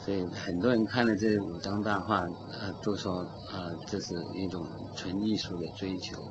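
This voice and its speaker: Noticeable background noise sits behind a man with a very deep, low pitch. He speaks at a moderate pace with fairly even intonation. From China. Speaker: painter. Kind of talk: interview. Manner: halting. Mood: calm, reflective. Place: studio. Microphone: studio mic.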